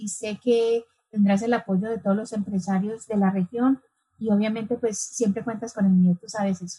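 A woman speaks in a fairly high pitch with fairly even intonation. Her voice is somewhat breathy. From New York, US (born Medellín, Colombia). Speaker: association founder. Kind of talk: interview.

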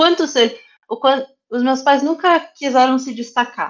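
Using an ordinary speaking voice, this speaker talks at a fairly slow pace with lively intonation. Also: woman. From São Paulo area, Brazil (Osasco). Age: 30s. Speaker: cosplayer and influencer manager. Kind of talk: casual interview chat.

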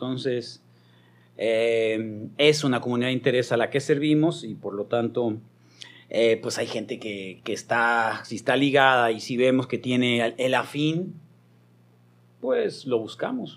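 Using an unremarkable speaking voice, a man talks at a fairly slow pace with a medium pitch and fairly even intonation. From Mexico, Hermosillo, Sonora. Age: 50s. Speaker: radio broadcaster. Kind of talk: casual chat. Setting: studio.

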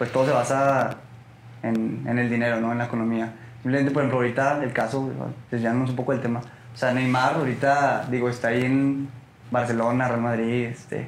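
A man speaks at a fairly quick pace in a medium pitch with monotone, flat intonation. Noticeable background noise and audible room echo fill the recording. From Mexico, Torreón (La Laguna). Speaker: football fan. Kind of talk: casual chat. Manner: halting.

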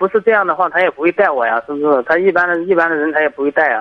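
A man rattles off words at a very fast pace in a high pitch, his pitch varying in an ordinary way. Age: 30s. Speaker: caller, factory worker making fur garments. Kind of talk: phone-in advice call. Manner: halting.

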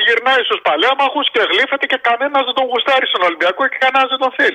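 Here a man speaks at an extremely high pitch and a fairly quick pace. He hardly pauses, and his loudness stays very even. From Greece. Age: 60s. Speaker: caller, sports fan. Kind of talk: phone-in chat.

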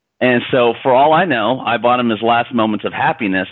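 A man speaks in an ordinary speaking voice with an American accent. His pitch is medium and his pace is moderate. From US Midwest (small-town Indiana). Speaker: social entrepreneur. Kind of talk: interview.

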